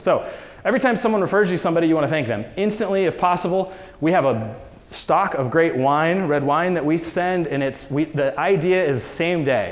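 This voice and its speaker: A high-pitched man with an American accent and lively intonation, amid noticeable background noise and audible room echo. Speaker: real estate business owner, conference speaker. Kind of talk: conference talk. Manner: fast; animated.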